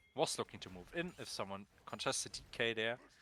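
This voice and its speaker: Music plays behind a man speaking with lively intonation. The sound is dry and close, with no echo. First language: not English. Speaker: esports caster. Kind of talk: live commentary. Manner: animated; fast.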